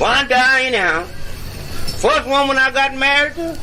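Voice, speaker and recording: A raised, projected voice with an American accent and ordinary pitch variation, over noticeable background noise. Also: man. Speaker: medicine show comedian and blues harmonica player. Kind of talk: comic stage monologue. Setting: outdoors.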